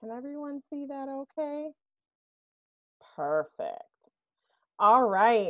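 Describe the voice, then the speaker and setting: A woman speaks loud and high, upbeat in tone. Her pace is very slow, with long, frequent pauses. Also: ordinary pitch variation. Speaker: human resources executive. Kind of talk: workshop presentation. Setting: video call from home.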